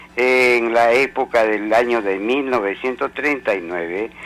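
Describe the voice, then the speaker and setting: Music in the background accompanies a man talking at a fairly slow pace, his pitch variation ordinary. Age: 70s. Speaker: caller. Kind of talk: phone call to radio show.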